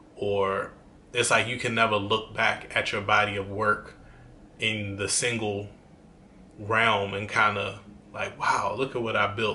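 At a fairly slow pace and with long, frequent pauses, a man speaks in a fairly low, monotone, flat voice with audible room echo. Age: 30s. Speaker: YouTuber. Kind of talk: casual vlog monologue.

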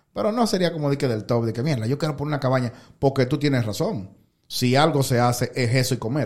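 Somewhat breathy, a man speaks at a very fast pace and a medium pitch with ordinary pitch variation. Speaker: podcast host. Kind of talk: casual chat. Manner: low-key, calm-sounding.

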